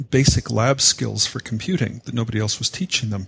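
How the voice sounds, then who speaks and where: A man speaks at medium pitch with a Canadian accent, somewhat breathy, with ordinary pitch variation. The recording is very clean with a silent background. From Canada. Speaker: software educator, founder of a teaching organization. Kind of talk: podcast interview.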